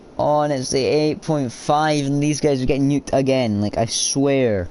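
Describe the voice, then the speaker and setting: Over noticeable background noise, a man with a fairly high pitch talks in an animated tone at a moderate pace, with ordinary pitch variation and very even loudness. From Scotland. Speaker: gamer streamer. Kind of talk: gameplay commentary. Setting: live stream. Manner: casual, animated.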